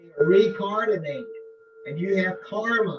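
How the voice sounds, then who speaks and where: A man speaks fairly slowly while music plays behind him. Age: 70s. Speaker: professor and yoga practitioner. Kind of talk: casual interview. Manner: halting.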